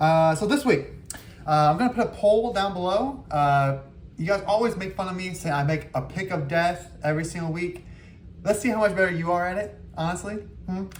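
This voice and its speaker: A man's high-pitched voice at a fairly quick pace, with ordinary pitch variation and audible room echo. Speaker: fantasy football league host. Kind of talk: casual commentary video. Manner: fast; hesitant, many fillers.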